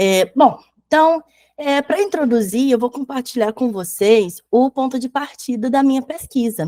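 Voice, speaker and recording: This voice has a dark, mellow tone and lively intonation at a fairly slow pace. The sound is dry and close, with no echo. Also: woman, high pitch for a woman. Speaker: academic researcher and school teacher. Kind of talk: academic conference presentation. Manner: hesitant, many fillers.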